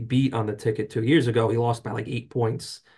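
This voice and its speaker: A man's somewhat breathy, very fast voice at a medium pitch with an American accent, monotone, flat intonation and a quiet background. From North Jersey, US. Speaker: trade association lobbyist. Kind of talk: interview.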